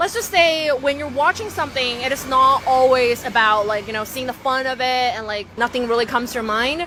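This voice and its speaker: A raised, projected voice at a fairly quick pace with an American accent and ordinary pitch variation, over noticeable background noise. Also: woman, high pitch for a woman, hardly any pauses. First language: not English. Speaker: interviewee. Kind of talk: street interview.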